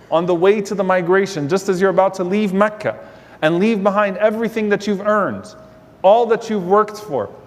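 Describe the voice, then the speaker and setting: A man with a high-pitched voice talks while noticeable background noise runs underneath. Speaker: Islamic lecturer. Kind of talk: Islamic sermon / religious lecture.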